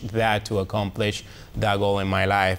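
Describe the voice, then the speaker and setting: This man's pitch is fairly low. He speaks in a strong Colombian accent. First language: Spanish. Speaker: reporter. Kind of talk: testimony. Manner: halting, many fillers.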